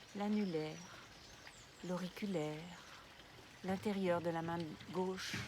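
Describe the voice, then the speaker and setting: A woman's very slow, calm and soothing voice, fairly low in pitch. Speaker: yoga nidra guide. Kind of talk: guided relaxation session. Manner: slow, calm, soothing.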